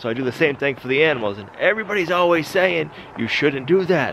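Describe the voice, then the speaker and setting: A man's fairly high-pitched voice with lively intonation over noticeable background noise. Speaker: homesteading YouTuber. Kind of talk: casual vlog narration. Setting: outdoors.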